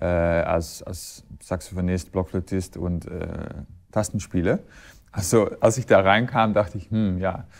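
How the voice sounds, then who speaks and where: A man with a Dutch accent speaks at a fairly slow pace in a very deep, low pitch. His intonation is fairly even, while his loudness swings widely. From Netherlands. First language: Dutch (speaking German). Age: 40s. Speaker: recorder player and conductor. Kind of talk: interview. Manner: halting, many fillers and repetitions. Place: hall. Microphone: lapel.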